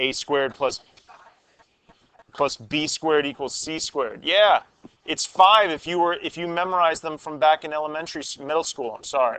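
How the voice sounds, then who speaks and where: Here a man talks in a plain, everyday voice at a moderate pace, his fairly high pitch showing ordinary variation. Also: big swings in loudness. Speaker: high school math teacher. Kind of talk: classroom lecture. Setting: classroom.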